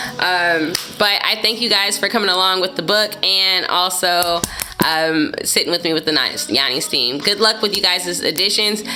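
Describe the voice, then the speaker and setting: This woman talks at a fairly quick pace with a medium pitch and lively intonation. Her loudness stays very even over noticeable background noise. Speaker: vlogger. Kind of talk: casual chat.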